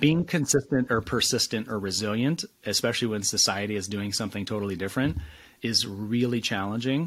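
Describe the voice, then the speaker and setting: This man has an unremarkable speaking voice with a fairly low pitch, a fairly quick pace, ordinary pitch variation and an American accent. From US Midwest, West Michigan. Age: 40s. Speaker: author and career coach. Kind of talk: podcast interview.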